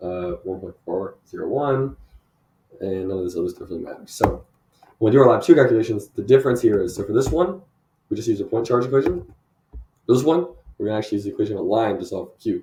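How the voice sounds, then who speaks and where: Talking at a very fast pace, this man keeps moving. His intonation is lively. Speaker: university student. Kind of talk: lab presentation walkthrough. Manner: casual with filler words.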